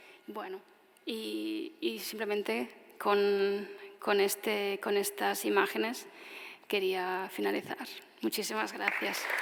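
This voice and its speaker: A woman speaks very slowly with long, frequent pauses, against noticeable background noise and audible room echo. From Spain, Tarragona. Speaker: architect. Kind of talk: audience Q&A answer; lecture. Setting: stage with audience; outdoors.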